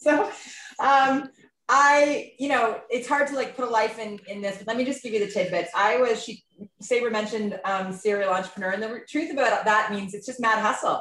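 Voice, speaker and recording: A woman's fairly high-pitched voice with ordinary pitch variation and big swings in loudness. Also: fairly quick pace. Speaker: entrepreneur. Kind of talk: testimony. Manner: fast.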